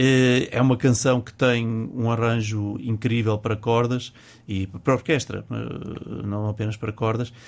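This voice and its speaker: At a fairly slow pace, a man talks in a medium pitch. His intonation is monotone and flat. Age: 50s. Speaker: music teacher and singer. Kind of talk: casual chat. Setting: studio. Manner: halting.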